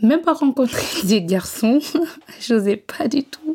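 The woman's voice has a dark, mellow tone. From West Africa. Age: 20s. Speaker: domestic abuse survivor. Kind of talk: personal testimony. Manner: halting, with filler hesitations.

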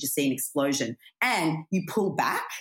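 A woman's very deep, low voice with lively intonation and an Australian accent. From Australia, country town. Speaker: comedian and journalist. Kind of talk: casual chat. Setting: London.

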